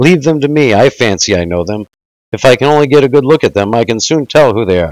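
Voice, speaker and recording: A man puts on a shrill character voice at medium pitch, talking very fast. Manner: screaming, loud.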